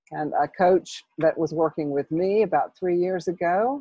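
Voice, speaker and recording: With an American accent, a woman talks at a fairly low pitch with ordinary pitch variation. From US South, North Carolina. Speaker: business coach. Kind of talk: interview.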